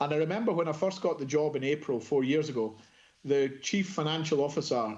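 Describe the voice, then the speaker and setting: Speaking with a Scottish accent, a man uses ordinary pitch variation. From Scotland. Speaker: procurement executive. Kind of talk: conference presentation.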